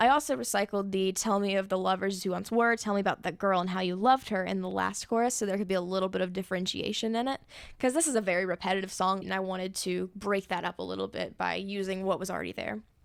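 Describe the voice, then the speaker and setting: A woman races along at a very fast pace with hardly any pauses. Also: medium pitch for a woman, ordinary pitch variation. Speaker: songwriter and video creator. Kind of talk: tutorial. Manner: casual.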